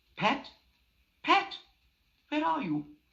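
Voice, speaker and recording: The voice is a put-on character voice pitched high. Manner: angry.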